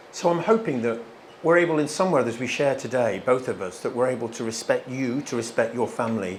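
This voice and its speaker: With a British accent, a man talks at a fairly quick pace and a medium pitch. His pitch variation is ordinary, and there is audible room echo. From England. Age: 50s. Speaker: guest speaker at a church. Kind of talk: church talk. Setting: stage with audience at a church. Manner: animated.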